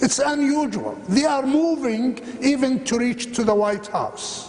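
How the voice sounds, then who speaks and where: Over noticeable background noise, a man with an Arabic accent speaks at a fairly slow pace, his extremely high pitch held in fairly even intonation. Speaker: minister and ministry founder. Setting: church chapel with audience.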